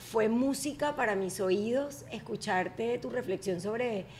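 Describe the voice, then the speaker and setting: At a very slow pace, a woman talks with lively intonation and a fairly high pitch. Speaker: podcast host. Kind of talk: casual chat. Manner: animated.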